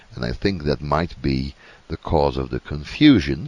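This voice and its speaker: A man speaks with a Dutch accent. His voice has vocal fry. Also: dry, close sound with no echo. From Netherlands. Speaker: Bible teacher. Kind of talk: Bible teaching talk. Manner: halting with many fillers.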